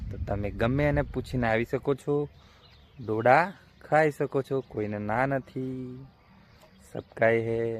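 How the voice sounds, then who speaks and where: A normal speaking voice with fairly even intonation is captured in a dry, close sound with no echo. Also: man, medium pitch for a man. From Gujarat, Panchmahal district. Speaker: farmer and small vlogger. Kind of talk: casual vlog. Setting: outdoors in a maize field.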